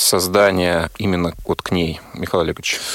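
A man with an ordinary speaking voice talks at a moderate pace in a fairly low pitch, recorded dry and close with no echo. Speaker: radio host. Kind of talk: radio interview. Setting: studio.

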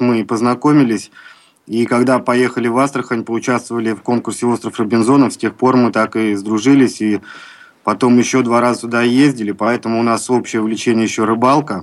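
A man talks at a fairly quick pace and a medium pitch. His intonation is monotone and flat. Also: very clean recording, silent background. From Baltiysk, Kaliningrad region. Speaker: member of society of the blind. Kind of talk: radio interview.

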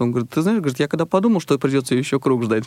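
A man's voice in a dry, close sound with no echo. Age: 30s. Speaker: blind karting instructor and massage therapist. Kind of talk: radio interview. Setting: radio studio.

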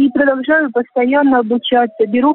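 Her intonation fairly even, a woman talks in a high pitch. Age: 60s. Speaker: volunteer health gymnastics instructor. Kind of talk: prepared radio monologue.

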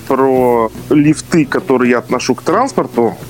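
A man with a medium pitch speaks over noticeable background noise. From Moscow, Russia. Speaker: special education teacher and researcher. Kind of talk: casual chat.

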